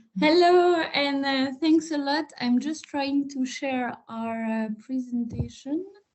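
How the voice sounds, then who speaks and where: A woman's high-pitched voice with ordinary pitch variation, at a very slow pace with hardly any pauses. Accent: French. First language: French. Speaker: psychologist. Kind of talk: webinar presentation.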